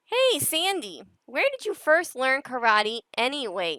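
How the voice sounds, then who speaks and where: A woman puts on a character voice, high in pitch with very wide pitch swings. She speaks at a fairly slow pace. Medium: read story.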